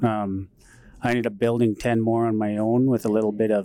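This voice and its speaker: A man talks at a moderate pace with a western Canadian accent. His fairly low voice stays monotone and flat. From northern Alberta, Canada (Métis settlement). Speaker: entrepreneur and inventor, former welder. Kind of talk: interview. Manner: halting, with fillers.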